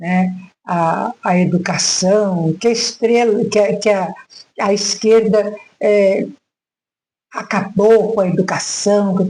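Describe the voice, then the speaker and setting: A woman speaks very slowly with a dark, mellow tone and monotone, flat intonation. Her loudness stays very even, broken by long, frequent pauses. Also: medium pitch for a woman. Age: 70s. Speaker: retired teacher. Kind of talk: reflective monologue vlog. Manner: halting, with frequent fillers.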